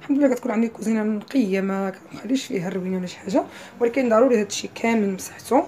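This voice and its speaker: A woman's fairly high voice rushes along at a very fast pace, with noticeable background noise behind it. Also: ordinary pitch variation. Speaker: lifestyle vlogger. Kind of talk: travel vlog narration.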